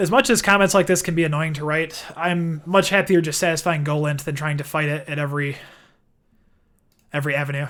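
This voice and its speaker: Very fast speech in a Midwestern accent with fairly even intonation, on a very clean recording with a silent background. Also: man. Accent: Midwest. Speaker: software developer streamer. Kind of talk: live coding stream. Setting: live stream. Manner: casual, thinking aloud with fillers.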